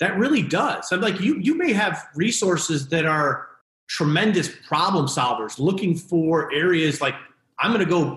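Lively in intonation and very even in loudness, a high-pitched man with an American accent speaks amid audible room echo. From Connecticut, US. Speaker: business executive, former college baseball pitcher. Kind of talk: interview conversation. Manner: frequent fillers and restarts.

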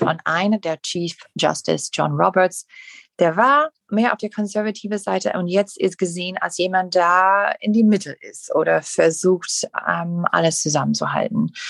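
Someone speaks at a fairly slow pace with an English accent, in a dry, close sound with no echo against a quiet background. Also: woman. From USA. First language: English (speaking German). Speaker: podcast co-host. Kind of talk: casual chat. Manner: halting.

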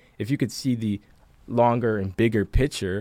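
A man speaks in an ordinary speaking voice at a fairly quick pace with fairly even intonation, in a dry, close sound with no echo on a very clean recording with a silent background. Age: 20s. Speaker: chief product officer. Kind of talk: casual chat.

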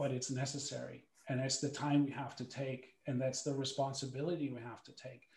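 This man's voice is somewhat breathy and medium in pitch, with monotone, flat intonation. He moves at a fairly quick pace, and his loudness swings widely. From Germany. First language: German. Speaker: former pro hockey goaltender, sports psychology coach. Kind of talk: panel talk and personal testimony.

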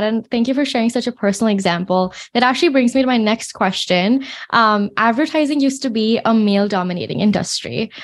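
This woman talks very fast, her pitch fairly high and its variation ordinary. Her loudness stays very even throughout. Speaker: podcast host. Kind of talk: interview. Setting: video call. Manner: enthusiastic.

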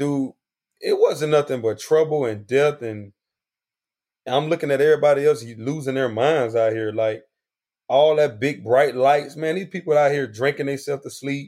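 A man with an unremarkable speaking voice talks at a moderate pace in a fairly high pitch with ordinary pitch variation. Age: adult, not young. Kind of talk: testimony.

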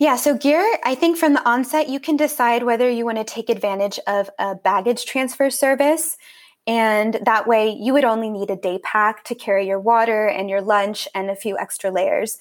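In an American accent, a woman talks at a moderate pace with a fairly high pitch, ordinary pitch variation and an ordinary speaking voice. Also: very clean recording, silent background. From US, California Central Coast. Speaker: hiking travel blogger. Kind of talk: interview.

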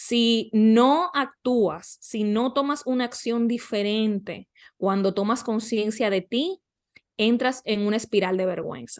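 Against a quiet background, a woman speaks at a very slow pace and a fairly high pitch, with ordinary pitch variation. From Dominican Republic. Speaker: life coach. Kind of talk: interview conversation.

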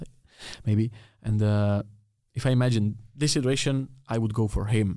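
A man with a Czech accent speaks at a moderate pace in a dark, mellow, medium-pitched voice, his intonation fairly even and broken by long, frequent pauses. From Czech Republic. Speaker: podcast host. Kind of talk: casual interview chat. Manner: halting in English.

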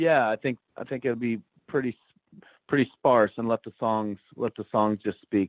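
This man speaks at a moderate pace with a medium pitch in an unremarkable speaking voice. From Ontario, Canada. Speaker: country singer-songwriter. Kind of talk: casual interview.

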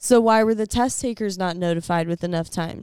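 On a very clean recording with a silent background, a woman talks in a normal speaking voice at a moderate pace with ordinary pitch variation. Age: 20s. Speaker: podcast guest. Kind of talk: casual chat.

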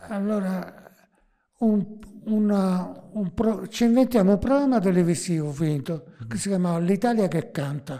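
Here a man speaks at a moderate pace with a high pitch. His tone is dark and mellow, and his intonation lively. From Naples, Italy. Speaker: music composer and TV writer. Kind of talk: casual interview.

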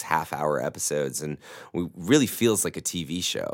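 Vocal fry runs through a fairly quick delivery with ordinary pitch variation. The recording is very clean, with a silent background. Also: man. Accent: American. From US South, Mississippi. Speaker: actor, writer and director. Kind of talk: interview.

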